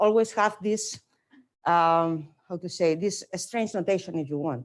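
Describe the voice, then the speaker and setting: Speaking with a non-native accent, a woman of medium pitch talks at a moderate pace with lively intonation on a very clean recording with a silent background. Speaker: mathematics lecturer. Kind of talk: lecture. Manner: hesitant with many fillers.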